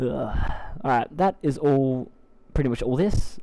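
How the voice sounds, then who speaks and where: A fairly slow delivery in an Australian accent. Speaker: gaming video creator. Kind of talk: live gameplay tutorial. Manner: casual, hesitant with many fillers.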